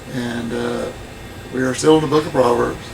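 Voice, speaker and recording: Audible room echo and noticeable background noise around a medium-pitched male voice. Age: old. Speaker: Bible study co-host. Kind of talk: casual chat. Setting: motorhome.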